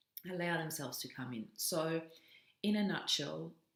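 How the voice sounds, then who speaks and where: A woman speaks with a non-native accent and a warm tone. Her moderate-paced delivery carries vocal fry. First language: not English. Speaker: self-development coach. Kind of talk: motivational vlog monologue. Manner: warm, casual with fillers.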